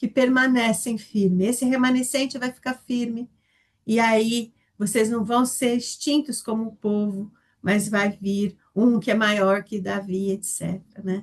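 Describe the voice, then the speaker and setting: A woman talks at a fairly slow pace in a fairly high, somewhat breathy voice with fairly even intonation. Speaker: Bible study teacher. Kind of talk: Bible study lesson.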